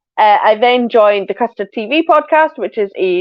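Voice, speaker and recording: With a Scottish accent, a woman talks in a lively, bouncing intonation. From Scotland. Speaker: podcast co-host. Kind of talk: casual chat.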